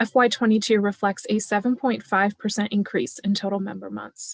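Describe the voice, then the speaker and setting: Soft-spoken delivery in a dry, close sound with no echo. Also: woman. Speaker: finance staff presenter. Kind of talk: budget presentation.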